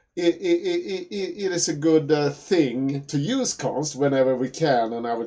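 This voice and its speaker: A man with a Swedish accent, dark and mellow in tone, at a moderate pace. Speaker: programming teacher. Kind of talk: tutorial. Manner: halting, many fillers and repetitions.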